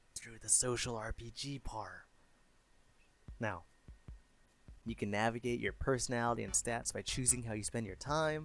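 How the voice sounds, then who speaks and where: Music plays in the background as a man speaks at a moderate pace. His pitch is medium with ordinary pitch variation. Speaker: YouTube commentator on games. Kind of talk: casual talk to camera.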